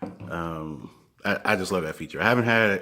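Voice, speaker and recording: At a moderate pace, a man speaks, his pitch moving in an ordinary way. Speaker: drone reviewer. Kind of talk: casual product review to camera. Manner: casual, hesitant with fillers.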